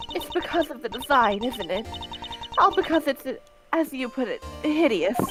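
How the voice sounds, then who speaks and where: Moderate pacing broken by long, frequent pauses, with music playing in the background. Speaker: company employee who designed a product. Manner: apologetic, emotional.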